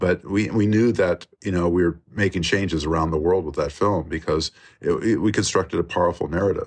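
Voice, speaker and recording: Very deep, low pitch from a man, fairly quick pace and fairly even intonation. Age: 60s. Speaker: documentary filmmaker. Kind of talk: interview conversation. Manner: halting with many fillers.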